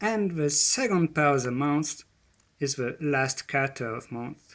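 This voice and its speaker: With a non-native accent, a man with a fairly high pitch speaks at a very slow pace using lively intonation. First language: not English. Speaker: presenter on ancient spirituality. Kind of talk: presentation. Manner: halting.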